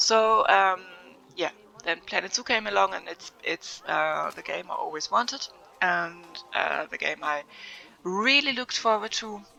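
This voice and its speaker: Over music in the background, a woman with a German accent speaks at a fairly slow pace, leaving long, frequent pauses. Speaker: gaming video creator. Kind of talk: casual unscripted vlog. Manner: hesitant, many fillers.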